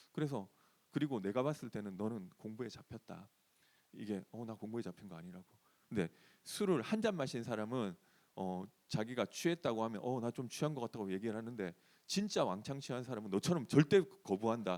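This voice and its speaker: A man at medium pitch talks at a fairly quick pace with lively intonation. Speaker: pastor. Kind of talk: sermon.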